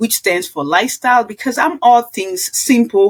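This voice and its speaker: A woman with a Kenyan accent speaks at a fairly high pitch. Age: 60s. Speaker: nurse and wellness coach. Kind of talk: podcast interview. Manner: animated.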